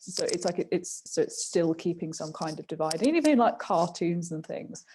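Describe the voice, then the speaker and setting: At a moderate pace, a woman talks in a fairly low pitch with a dark, mellow, somewhat breathy tone and fairly even intonation. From southern England, near London. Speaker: podcast co-host, university student. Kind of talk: casual chat. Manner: hesitant, many fillers.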